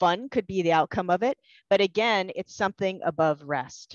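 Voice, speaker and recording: A woman talks at a moderate pace with ordinary pitch variation. The sound is dry with no echo, and the background is quiet. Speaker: presenter. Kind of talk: lecture. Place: home room. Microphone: headset.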